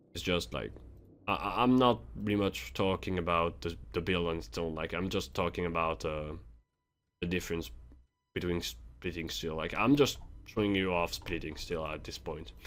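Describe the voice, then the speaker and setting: With a non-native accent, a man speaks in a very deep, low voice marked by vocal fry. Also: lively intonation, moderate pace. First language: not English. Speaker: gaming youtuber. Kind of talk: game tutorial. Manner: halting; casual.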